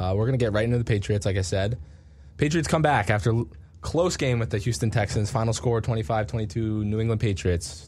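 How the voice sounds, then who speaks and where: Somewhat breathy, fairly quick speech with lively intonation, in an American accent. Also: man, very even loudness. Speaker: sports radio podcast host. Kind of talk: casual sports chat.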